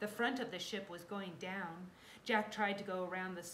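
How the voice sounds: The intonation holds fairly even. It's a natural reading voice.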